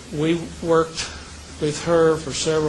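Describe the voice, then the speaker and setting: Fairly slow speech from a man over noticeable background noise. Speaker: retired telecom executive with early memory loss. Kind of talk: interview answer. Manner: clear, determined.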